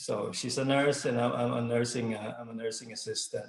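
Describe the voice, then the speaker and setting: Speaking fairly quickly, a man with a somewhat breathy, medium-pitched voice keeps a flat, monotone intonation. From Philippines. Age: 30s. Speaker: network marketing distributor. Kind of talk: testimony. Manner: halting, many fillers.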